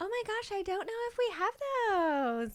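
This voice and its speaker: A put-on character voice comes through, squeaky. It moves at a moderate pace. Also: female-sounding voice. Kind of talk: Valley Girl voice. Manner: breezy, casual.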